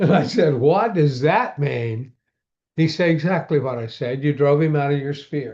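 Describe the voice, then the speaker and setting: A man speaks at a moderate pace in a somewhat breathy voice. His pitch is fairly high, with ordinary variation. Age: 70s. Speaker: pastor and exorcist, author. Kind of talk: interview storytelling. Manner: halting, with many fillers.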